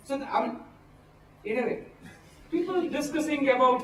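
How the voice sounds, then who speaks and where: Audible room echo and noticeable background noise frame a man's voice. He speaks at a moderate pace with lively intonation. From India. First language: not English. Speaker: pastoralist community advocate. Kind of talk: workshop talk. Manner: halting.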